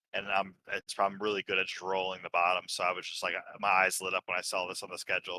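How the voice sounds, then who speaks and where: A bright, sharp voice moves at a fairly quick pace, with a dry, close sound and no echo. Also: man. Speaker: sim racing driver, race winner. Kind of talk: post-race interview. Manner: halting, many fillers.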